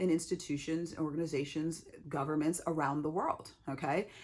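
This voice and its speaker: Over a silent background on a very clean recording, a woman with a fairly low pitch talks at a moderate pace. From Texas, El Paso (US-Mexico border). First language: Spanish. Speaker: diversity consultant and author. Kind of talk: Q&A monologue. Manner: halting, with repetitions and fillers.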